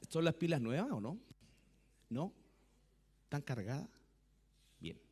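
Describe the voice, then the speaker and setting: A man talks fairly slowly, his pitch swinging very widely, with vocal fry in his voice. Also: fairly high pitch for a man. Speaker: pastor. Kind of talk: sermon. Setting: church. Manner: soft-spoken.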